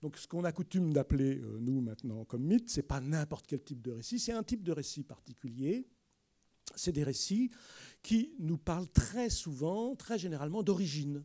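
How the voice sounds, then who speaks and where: In a dark, mellow tone, a man with a fairly high voice swings his pitch very widely at a moderate pace against a quiet background. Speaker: anthropologist and prehistorian giving a lecture; prehistorian giving a lecture. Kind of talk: public lecture. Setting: library lecture hall with audience. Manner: lively. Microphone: podium.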